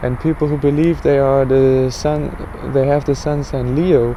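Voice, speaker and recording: Medium-pitched male voice at a moderate pace, amid noticeable background noise. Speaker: religious astronomy vlogger. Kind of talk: casual explanatory monologue.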